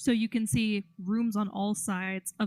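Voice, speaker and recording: A woman speaks quietly and somewhat breathily. The sound is dry and close with no echo. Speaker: game master. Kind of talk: tabletop role-play narration. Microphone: mic too close picks up mouth sounds.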